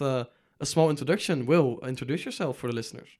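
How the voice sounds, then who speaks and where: A Dutch accent with ordinary pitch variation, on a very clean recording with a silent background. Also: man. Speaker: student podcast host. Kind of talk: casual interview.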